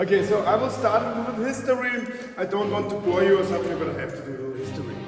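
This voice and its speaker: The speaker has a German accent and talks at a very fast pace with ordinary pitch variation. Music plays in the background, and the room echo is audible. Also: man, high pitch for a man. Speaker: tour guide. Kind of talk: guided tour. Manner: halting, many fillers.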